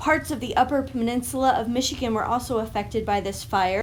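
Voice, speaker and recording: Music plays in the background while the speaker's pitch varies in an ordinary way. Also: woman. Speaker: history narrator. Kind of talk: history narration to audience. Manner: friendly, warm greeting.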